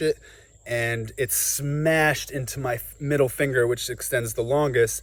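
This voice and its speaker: A man talks with a New Jersey accent. His medium-pitched voice has monotone, flat intonation. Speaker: farmer and YouTuber. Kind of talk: casual vlog tutorial. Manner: conversational.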